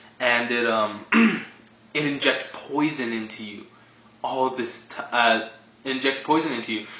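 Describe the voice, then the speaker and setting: Fairly slow, fairly even speech from a man of medium pitch, with long, frequent pauses over noticeable background noise. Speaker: anime reviewer. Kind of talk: casual review talk to camera.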